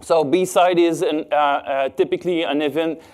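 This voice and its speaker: A man's high-pitched voice in a Quebec accent, with fairly even intonation. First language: French. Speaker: cybersecurity expert. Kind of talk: conference talk. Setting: stage with audience. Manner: halting, many fillers.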